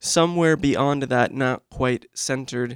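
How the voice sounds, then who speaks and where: The delivery is very slow, with fairly even intonation. The recording is very clean with a silent background and a dry, close sound with no echo. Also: man. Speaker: poet. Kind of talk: poetry reading. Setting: stage with audience. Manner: casual, relaxed.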